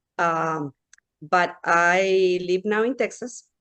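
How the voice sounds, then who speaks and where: A woman speaks at a medium pitch with a Mexican accent. Her pitch varies in an ordinary way. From Mexico. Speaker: pediatrician and hypnotherapist. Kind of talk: interview.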